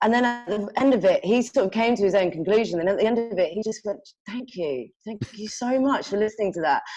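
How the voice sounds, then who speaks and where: A woman with a London accent at a very fast pace, fairly high-pitched with ordinary pitch variation, hardly any pauses, music in the background. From London, England. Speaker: sales manager. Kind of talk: casual interview. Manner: halting, many false starts.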